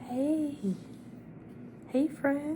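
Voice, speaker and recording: The voice is soft-spoken, with a gentle, warm tone. Its intonation stays fairly even. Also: woman. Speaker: ASMR creator. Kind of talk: ASMR comforting friend roleplay, soft-spoken. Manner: soft-spoken, gentle, warm.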